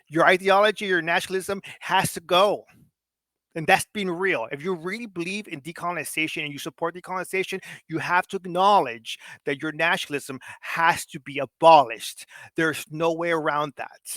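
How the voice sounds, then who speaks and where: A man with a high pitch speaks at a fairly quick pace in a bright, sharp, passionate tone with ordinary pitch variation. The recording is very clean with a silent background and a dry, close sound with no echo. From Mexico. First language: Spanish. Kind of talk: political discussion on livestream. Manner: passionate, emphatic.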